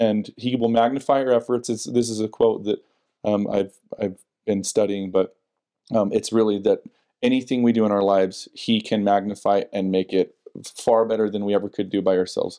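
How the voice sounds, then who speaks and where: Dark, mellow tone with fairly even intonation, a fairly quick pace and a Utah accent. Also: man, fairly low pitch for a man. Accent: Utah American. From Salt Lake County, Utah. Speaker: church member and husband. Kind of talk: casual interview about faith. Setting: at home.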